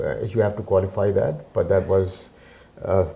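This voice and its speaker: A man speaks in a fairly low, somewhat breathy voice with a dark, mellow tone and a flat monotone. Audible room echo surrounds him. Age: 70s. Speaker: community centre president, retired businessman. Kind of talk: interview. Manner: halting, many fillers.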